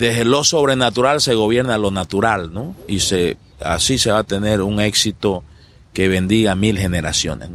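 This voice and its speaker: A man talks at a moderate pace in an unremarkable speaking voice, fairly low in pitch with ordinary pitch variation. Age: 50s. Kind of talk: interview.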